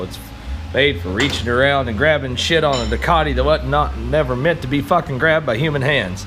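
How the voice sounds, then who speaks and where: Over noticeable background noise and audible room echo, a man of medium pitch rattles along at a very fast pace with lively intonation. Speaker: motorcycle DIY vlogger. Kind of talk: casual tutorial. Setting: home garage.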